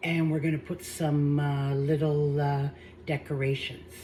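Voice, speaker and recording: Somewhat breathy, a woman speaks at a fairly slow pace with a very deep, low pitch. Her tone is dark and mellow, and her intonation fairly even. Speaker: home cooking channel host. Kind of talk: cooking tutorial. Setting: home kitchen. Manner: hesitant, with fillers; soft-spoken.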